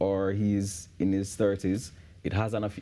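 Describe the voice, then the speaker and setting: This man has a dark, mellow tone and speaks with a Jamaican accent. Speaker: men's issues advocate and teacher. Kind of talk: TV interview. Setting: TV studio. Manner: halting, many repetitions.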